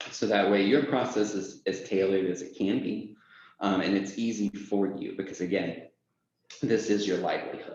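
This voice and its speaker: A man with a fairly low pitch and fairly even intonation talks at a moderate pace. Room echo can be heard. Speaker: software onboarding lead. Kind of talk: company presentation. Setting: presentation to audience.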